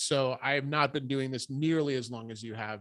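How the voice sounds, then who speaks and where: An American-accented man with an unremarkable speaking voice, medium pitch, ordinary pitch variation and a fairly quick pace, on a very clean recording with a silent background. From US Northeast, Rhode Island. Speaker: podcast host. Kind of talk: casual interview chat.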